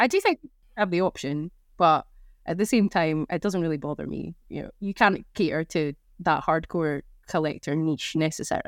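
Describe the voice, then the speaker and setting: In a Scottish accent, a woman with a fairly low pitch talks at a moderate pace with ordinary pitch variation, the sound dry and close with no echo. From Scotland. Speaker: gamer, drinks industry worker. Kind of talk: casual chat.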